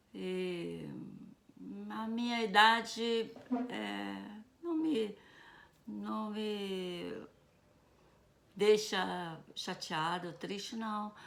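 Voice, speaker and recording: A woman speaks very slowly, leaving long, frequent pauses. Her loudness swings widely, and the room echo is audible. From Brazil, Rio de Janeiro. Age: 70s. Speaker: retired teacher. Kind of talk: personal storytelling.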